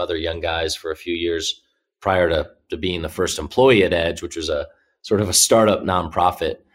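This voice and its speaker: A man with an American accent talks at a fairly quick pace in a very deep, low pitch, somewhat breathy. The recording is very clean with a silent background. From US Midwest, Indianapolis. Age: 30s. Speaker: business executive. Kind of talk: interview. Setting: filmed interview.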